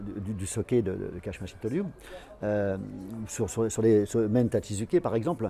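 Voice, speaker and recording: Dark and mellow in tone, a man's voice carries through the clip. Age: 60s. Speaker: aikido teacher. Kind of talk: interview. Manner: halting, many repetitions and fillers.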